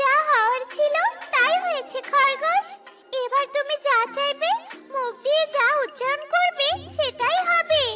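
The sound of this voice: A woman performs a squeaky, cartoonish character voice at an extremely high pitch. Faint music plays in the background. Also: moderate pace.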